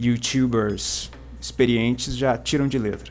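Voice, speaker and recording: Music plays in the background. A man speaks with a strong Paraná accent. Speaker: book YouTuber. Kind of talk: literary lecture video. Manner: hesitant, many fillers; formal.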